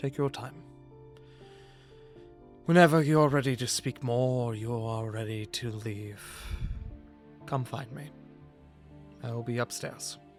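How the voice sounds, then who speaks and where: A man in a put-on character voice at medium pitch, fairly slow and fairly even in intonation, with big swings in loudness, long and frequent pauses, and clear music in the background. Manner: low, muttering.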